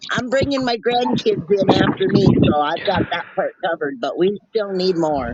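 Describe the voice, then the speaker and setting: Noticeable background noise accompanies a woman speaking at a moderate pace. Her pitch is medium, and she hardly pauses at all. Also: lively intonation. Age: 60s. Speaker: animal rescuer. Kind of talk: casual chat.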